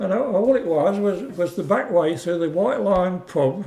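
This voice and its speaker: A man with an English Midlands accent and a dark, mellow tone. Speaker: war-time witness, oral history interviewee. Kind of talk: oral history interview answer.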